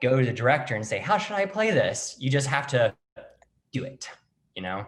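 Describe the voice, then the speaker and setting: A somewhat breathy, fairly high-pitched man with an American accent, at a fairly quick pace with very wide pitch swings. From US South. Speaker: actor and playwright. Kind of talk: interview.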